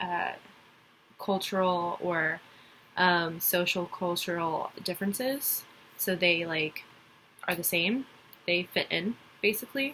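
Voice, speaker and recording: Speaking very slowly with long, frequent pauses, a woman with an American accent has a fairly low pitch and a bright, sharp tone. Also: ordinary pitch variation. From Texas (Dallas). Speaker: college student. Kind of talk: class assignment presentation. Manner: hesitant, many fillers.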